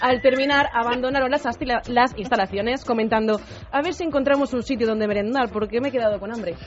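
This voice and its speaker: Noticeable background noise runs under a woman's high voice. She speaks at a fairly quick pace with ordinary pitch variation. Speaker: radio presenter. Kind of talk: news reading.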